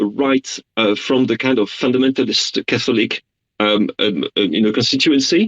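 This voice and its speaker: With a French accent, a man of medium pitch talks at a moderate pace with lively intonation, the sound dry and close with no echo. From France. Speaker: journalist. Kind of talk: radio interview.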